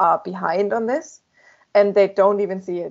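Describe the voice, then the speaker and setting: Against a quiet background, a woman with a German accent speaks at a moderate pace with ordinary pitch variation. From Germany. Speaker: beamline scientist; guest. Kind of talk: interview. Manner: animated. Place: office. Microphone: headset.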